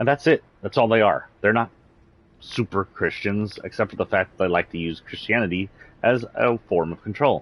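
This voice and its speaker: With a slight Southern US accent, a man speaks at a fairly low pitch with lively intonation. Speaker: streamer. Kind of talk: livestream rant; casual chat. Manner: animated.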